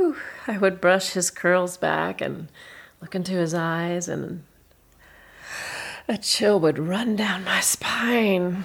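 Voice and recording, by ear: A woman puts on a character voice with a slightly husky edge and vocal fry. Her pitch is fairly low with ordinary variation, and her pace is slow.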